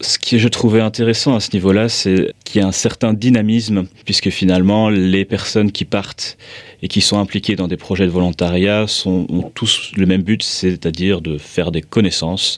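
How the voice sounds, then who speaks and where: Over a very clean recording with a silent background, a man speaks at a moderate pace. His pitch is fairly low and his intonation fairly even. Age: 20s. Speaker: volunteer and association board member. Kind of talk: personal testimony. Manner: hesitant, many filler sounds.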